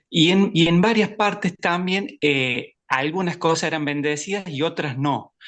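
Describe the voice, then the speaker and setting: A man is speaking. The background is quiet. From Argentina, Córdoba. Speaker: bicycle mechanic, participant. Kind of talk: question in discussion group. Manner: halting, many fillers.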